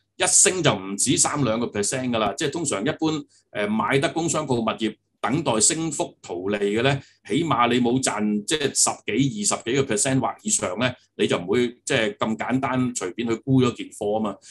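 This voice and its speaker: A man's lively intonation comes through at a moderate pace, with light background noise behind him. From Hong Kong. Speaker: property agency executive; guest. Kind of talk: interview. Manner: halting, many fillers. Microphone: video call.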